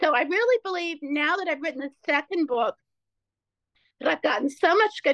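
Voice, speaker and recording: With an American accent and a bright, sharp tone, a woman talks at a fairly quick pace with ordinary pitch variation in a dry, close sound with no echo. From Ohio, US Midwest. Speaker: author and speaker, former therapist. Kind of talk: casual interview.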